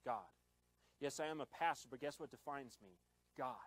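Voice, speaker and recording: The recording is dry, with no echo. A man speaks at a fairly high pitch with ordinary pitch variation. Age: 20s. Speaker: pastor. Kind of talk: sermon. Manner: animated. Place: church. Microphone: handheld.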